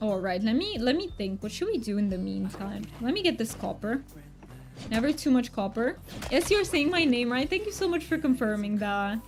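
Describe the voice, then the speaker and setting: Over music in the background, a soft-spoken woman with a high-pitched voice moves at a moderate pace through very wide pitch swings. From Poland. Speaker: game streamer. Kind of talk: casual livestream chat. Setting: livestream.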